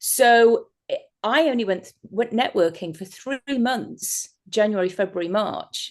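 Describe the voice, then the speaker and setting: Spoken at a very slow pace with an English accent, the voice has ordinary pitch variation and hardly any pauses. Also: woman, fairly high pitch for a woman. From England. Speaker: hypnotherapist. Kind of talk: interview. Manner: halting.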